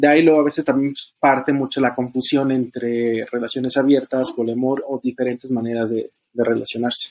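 Here a man speaks with monotone, flat intonation. His pace is fairly quick. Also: medium pitch for a man, dry, close sound with no echo. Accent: central Mexican. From Estado de México, Mexico. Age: 30s. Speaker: podcast guest sharing polyamory experience. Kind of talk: casual conversation, personal testimony. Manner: hesitant, many fillers and repetitions.

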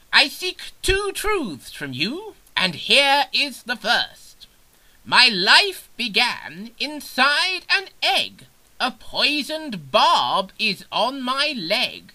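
The put-on character voice sits high in pitch, swings very widely up and down, and moves at a very slow pace. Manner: pompous, rambling.

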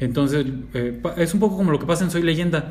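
A man with a Mexican accent at a moderate pace, with audible room echo. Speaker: podcast co-host. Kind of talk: casual chat.

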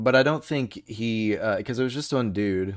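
A man with an American accent has an unremarkable speaking voice and ordinary pitch variation. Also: very clean recording, silent background. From United States. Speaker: beer podcast co-host. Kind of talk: casual chat.

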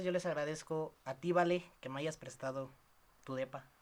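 Speaking with a Mexican accent, a man keeps a moderate pace. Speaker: podcast host. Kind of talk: casual chat. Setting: girlfriend's apartment.

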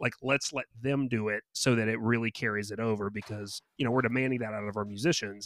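Using a plain, everyday voice, the speaker moves at a fairly quick pace with hardly any pauses and fairly even intonation. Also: man, medium pitch for a man. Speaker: event organizer. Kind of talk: casual chat.

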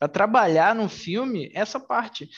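Lively intonation colors a man's fairly slow speech. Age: 20s. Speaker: podcast host and mentor. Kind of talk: casual chat.

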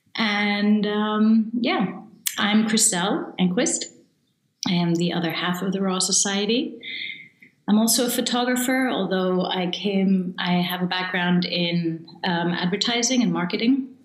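At a fairly slow pace, a woman speaks at a medium pitch with ordinary pitch variation, and audible room echo is present. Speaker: photographer and photography coach. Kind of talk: casual interview. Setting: video call. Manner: talkative.

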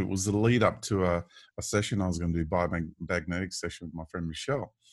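At a fairly quick pace, a man speaks with an Australian accent. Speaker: podcast host. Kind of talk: casual chat. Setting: video call.

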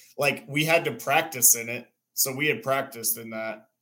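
An American accent marks this man's speech. The tone comes across bright and sharp. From Central Texas. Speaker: tournament angler. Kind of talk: casual chat.

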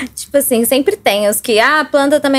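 Her pitch is high, and this woman's voice varies in an ordinary way. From southern Minas Gerais, Brazil (Baependi). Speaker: student and podcast guest. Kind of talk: casual chat.

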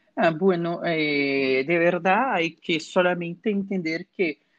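This man talks at a very slow pace in a Portuguese accent. His pitch variation is ordinary. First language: Portuguese (speaking Spanish). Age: 20s. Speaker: historian. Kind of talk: expert interview.

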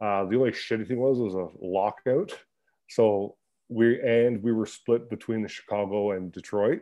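In a Canadian accent, a man with a normal speaking voice and medium pitch talks at a moderate pace with fairly even intonation. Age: 30s. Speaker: ice hockey player. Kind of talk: casual chat.

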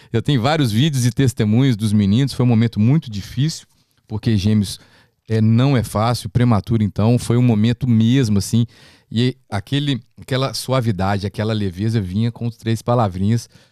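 In a very clean recording with a silent background and a dry, close sound with no echo, a man with an unremarkable speaking voice talks at a moderate pace, medium in pitch, his intonation fairly even. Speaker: podcast host, gospel music producer. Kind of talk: casual podcast interview.

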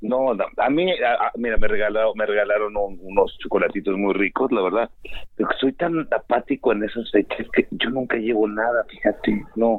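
In a Mexican accent, a man speaks at a moderate pace with ordinary pitch variation. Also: medium pitch for a man. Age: 40s. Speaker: guest commentator. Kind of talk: casual chat.

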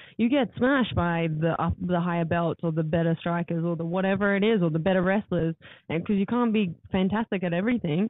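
A woman talks at a fairly quick pace with an Australian accent. Her loudness stays very even. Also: ordinary pitch variation. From Gold Coast, Australia (born in New Zealand). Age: 20s. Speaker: MMA fighter. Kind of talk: casual interview. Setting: podcast room in a hotel.

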